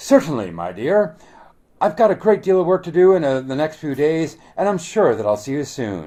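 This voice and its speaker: Putting on a loud, booming character voice, a man speaks at a fairly high pitch and moderate pace with very wide pitch swings, on a very clean recording with a silent background. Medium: read story. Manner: loud, blustering.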